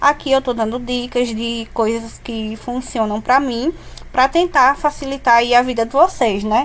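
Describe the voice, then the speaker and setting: High-pitched female voice, its pace fairly slow and its pitch varying in an ordinary way. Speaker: cake decorator. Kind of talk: tutorial.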